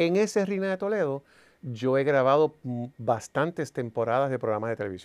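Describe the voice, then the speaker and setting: A man talks at a moderate pace and a fairly high pitch, swinging very widely in pitch. The background is quiet. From Puerto Rico. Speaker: entertainer and producer; interview guest. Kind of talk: interview. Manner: animated. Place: studio. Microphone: lapel.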